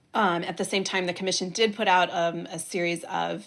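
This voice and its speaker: Speaking in an American accent, a woman uses an unremarkable speaking voice at medium pitch and a moderate pace, with ordinary pitch variation on a very clean recording with a silent background. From United States. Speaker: political journalist and podcast host. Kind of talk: interview.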